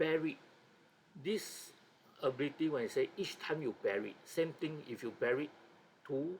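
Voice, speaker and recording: Fairly slow speech with a non-native accent. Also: man. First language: not English. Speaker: board game hobbyist and video creator. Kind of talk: tutorial. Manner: halting.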